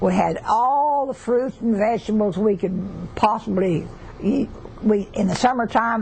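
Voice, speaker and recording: Someone with a Southern US accent speaks at a fairly slow pace over noticeable background noise. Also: woman. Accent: Southern US (Oklahoma). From southeastern Oklahoma. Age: 80s+. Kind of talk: interview answer.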